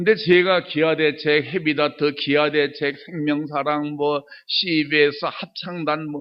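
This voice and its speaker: A man's fairly high voice with ordinary pitch variation, at a fairly slow pace. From Chungcheong, Korea. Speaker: church elder, lay speaker. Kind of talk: testimony sermon. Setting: church service. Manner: animated.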